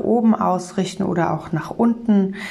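A calm, soothing tone at a fairly slow pace, with ordinary pitch variation and noticeable background noise. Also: woman. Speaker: meditation guide and communication trainer. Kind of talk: guided meditation. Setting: studio, solo podcast. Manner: calm, slow, soothing; gentle, warm, instructive.

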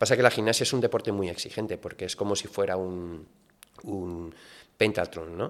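A man talks at a very deep, low pitch. The recording is very clean, and the background is silent. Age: 50s. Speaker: sports league executive and former Olympic gymnast. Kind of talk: casual interview. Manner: halting, frequent repetitions.

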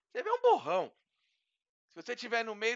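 This is a man speaking in a high pitch. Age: 40s. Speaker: tech influencer, podcast co-host. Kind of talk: casual chat.

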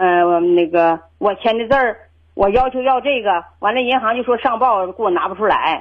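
Hardly pausing, a woman with a plain, everyday voice talks at a moderate pace, her fairly high pitch showing ordinary variation. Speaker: caller. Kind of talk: phone call-in conversation. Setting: phone call. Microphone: worried too quiet, host says clear.

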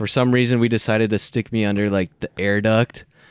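Recorded with a dry, close sound and no echo, a man speaks with fairly even intonation. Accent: American. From Minnesota. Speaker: podcast guest. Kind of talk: casual chat.

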